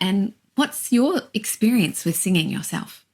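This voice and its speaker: A somewhat breathy woman's voice with an Australian accent, medium pitch, ordinary pitch variation, and a moderate pace. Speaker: singing teacher. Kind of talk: casual chat.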